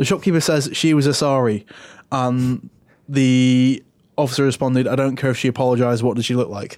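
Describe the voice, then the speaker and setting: In a normal speaking voice, a man talks at a fairly quick pace, medium in pitch, with fairly even intonation. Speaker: podcast co-host. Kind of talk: casual chat.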